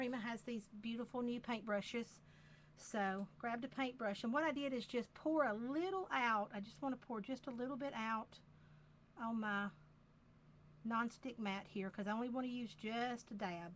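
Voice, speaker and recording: With a Southern US accent, a woman talks using ordinary pitch variation. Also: fairly high pitch for a woman, moderate pace. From US South, Georgia. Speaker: craft demonstrator. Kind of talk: tutorial. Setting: live video stream.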